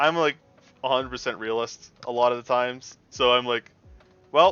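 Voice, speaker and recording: A man talks at a moderate pace and a medium pitch. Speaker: vtuber streamer. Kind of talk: casual live stream chat. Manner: loud; animated.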